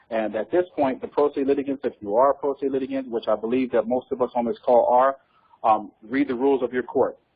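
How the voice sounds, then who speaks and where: A man talks at a very fast pace with a medium pitch. His pitch varies in an ordinary way. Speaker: guest speaker on legal topics. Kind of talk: teleconference talk. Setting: phone conference call. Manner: hesitant, many fillers.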